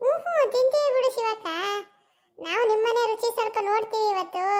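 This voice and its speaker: A woman performs a squeaky, cartoonish character voice. Her pitch is extremely high, and her pace is moderate. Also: ordinary pitch variation. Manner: folksy, warm.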